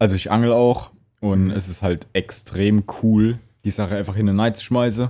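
Fairly low-pitched male speech with a dark, mellow tone, fairly even intonation and a moderate pace. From Palatinate, Germany. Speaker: podcast co-host. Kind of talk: casual chat.

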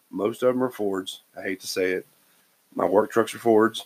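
A man's unremarkable speaking voice, medium in pitch, at a moderate pace. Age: 40s. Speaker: guest brother. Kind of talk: casual chat.

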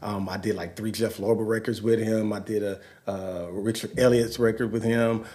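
Speaking with an American accent in a dark, mellow tone, the voice moves at a moderate pace with monotone, flat intonation and hardly any pauses, with audible room echo. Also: man, fairly low pitch for a man. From Los Angeles. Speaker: musician and pastor. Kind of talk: casual chat.

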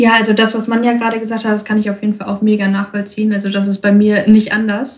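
A woman's very fast, fairly high-pitched speech in a monotone, flat delivery. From Germany, Ruhr area (Bochum). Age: 20s. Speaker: young woman guest. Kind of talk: interview.

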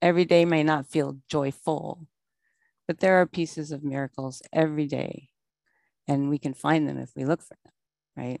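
A woman with a very deep, low voice speaks at a moderate pace in a monotone, flat way, with long, frequent pauses. Her loudness swings widely against a quiet background. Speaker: recovery meeting speaker. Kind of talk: recovery testimony. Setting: video call.

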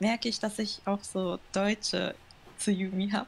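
A woman with a Japanese accent speaks at a fairly slow pace in a fairly high, somewhat breathy voice. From Germany, Düsseldorf, Japanese family. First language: Japanese (speaking German). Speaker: interview guest. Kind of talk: casual interview. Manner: halting.

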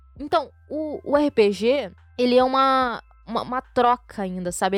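Music plays behind a woman with a fairly high pitch. She speaks at a moderate pace with ordinary pitch variation. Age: 20s. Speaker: podcast host. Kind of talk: casual chat.

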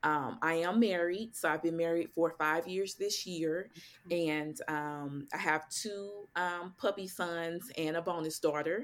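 A woman's unremarkable speaking voice, fairly low in pitch, with an American accent, a fairly slow pace and a very clean recording over a silent background. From St. Louis, Missouri. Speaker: financial coach. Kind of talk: interview.

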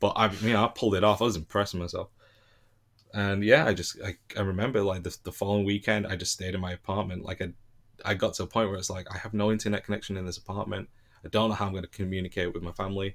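On a very clean recording with a silent background, a man with a British accent races at a very fast pace, his fairly low pitch held in monotone, flat intonation. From Britain. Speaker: former English teacher abroad. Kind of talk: casual chat.

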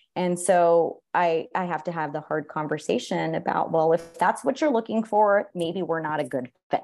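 A woman with a Californian accent talks in a fairly low voice. She hardly pauses at all. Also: ordinary pitch variation, moderate pace. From San Jose, California. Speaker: photographer and university program director. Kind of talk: interview conversation.

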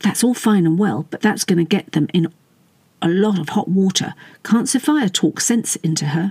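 This recording features a natural reading voice.

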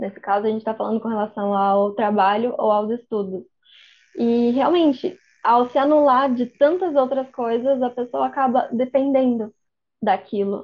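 High pitch from a woman, moderate pace, and ordinary pitch variation. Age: 20s. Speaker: medical student. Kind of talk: casual interview. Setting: podcast recording.

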